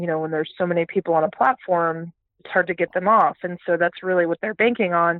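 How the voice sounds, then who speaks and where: A woman with a plain, everyday voice speaks with a fairly low pitch and fairly even intonation. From Texas, Houston. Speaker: startup CEO and futurist. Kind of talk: interview.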